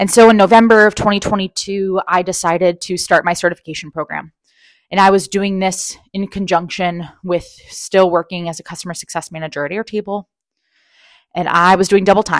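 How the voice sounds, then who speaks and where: A woman with an unremarkable speaking voice talks fairly quickly at medium pitch, with fairly even intonation. The recording is very clean with a silent background, and the sound is dry and close with no echo. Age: 30s. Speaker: career coach, podcast host. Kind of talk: solo monologue, personal storytelling.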